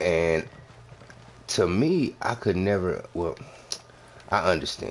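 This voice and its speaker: A man speaks at a very slow pace, with long, frequent pauses. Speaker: gaming live streamer and soldier. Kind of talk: casual chat during live game stream. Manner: talking low.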